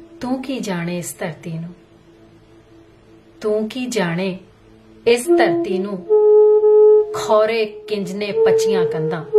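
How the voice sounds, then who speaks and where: Music plays behind a woman with a fairly high pitch. Her pitch swings very widely. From London. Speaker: voice actor. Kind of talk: poetry reading.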